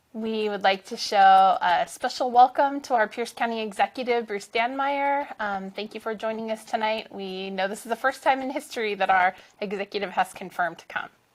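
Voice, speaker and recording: A woman with a plain, everyday voice talks at a fairly quick pace and fairly high pitch, with ordinary pitch variation, big swings in loudness and hardly any pauses, on a very clean recording with a silent background. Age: 40s. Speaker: event co-host, parent coordinator. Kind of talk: event hosting, virtual forum. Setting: studio, virtual event.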